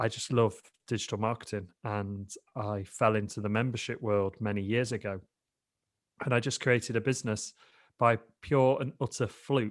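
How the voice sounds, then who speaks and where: Here a man with a British accent and a medium pitch speaks at a moderate pace with fairly even intonation. Long, frequent pauses break up his speech on a very clean recording with a silent background. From England, Lincoln. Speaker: digital entrepreneur, podcast guest. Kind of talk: casual interview chat.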